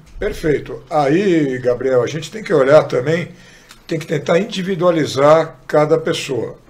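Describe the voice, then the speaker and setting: Noticeable background noise surrounds a man speaking at a fairly slow pace with a fairly high pitch. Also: ordinary pitch variation. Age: 60s. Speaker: sports medicine doctor. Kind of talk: podcast interview.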